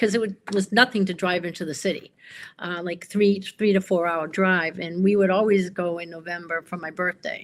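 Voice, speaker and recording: Moving at a fairly quick pace, a plain, everyday voice with fairly even intonation comes through in a very clean recording with a silent background. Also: woman. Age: 60s. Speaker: pen enthusiast. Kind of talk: casual chat.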